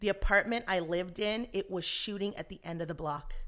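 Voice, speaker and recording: Bright and sharp in tone, a woman speaks at a medium pitch. Her pace is moderate. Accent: American. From Los Angeles, US. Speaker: actress. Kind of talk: casual interview. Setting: at host's home. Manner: laughs often.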